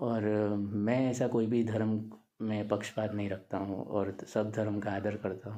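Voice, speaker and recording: The man's voice is fairly low in pitch, with monotone, flat intonation. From Gujarat, India. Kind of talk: casual talk to camera. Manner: halting, many fillers.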